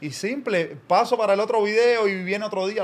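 The man speaks with ordinary pitch variation. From Cuba. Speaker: comedy content creator. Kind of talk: casual chat. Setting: studio. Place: studio. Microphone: studio mic.

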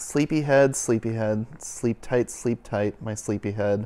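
A man speaks in a sing-song way at a fairly slow pace. His tone is soothing and calm, dark and mellow. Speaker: youth and families minister reading a picture book. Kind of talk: bedtime story read aloud to children, rhythmic rhyming verse. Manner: warm, gentle, sing-song cadence; soothing, slow and calm. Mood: gentle, soothing. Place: home room. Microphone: lapel.

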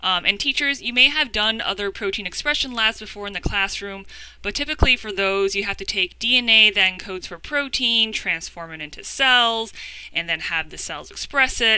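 Over a quiet background, a woman talks at a moderate pace with ordinary pitch variation and big swings in loudness, in a dry sound with no echo. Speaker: educator presenting a webinar. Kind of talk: webinar presentation. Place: home room. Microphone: webcam.

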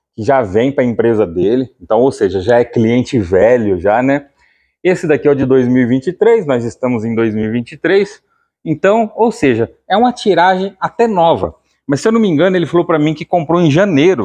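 This man has a fairly high voice with a dark, mellow tone and very wide pitch swings. He speaks at a moderate pace against a quiet background. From interior of São Paulo, Brazil. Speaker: channel host and keg buyer. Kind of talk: sales pitch, casual pitchman-style promo to camera. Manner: casual, chatty, upbeat; repetitive, salesy, with filler "né". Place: shop. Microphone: phone near.

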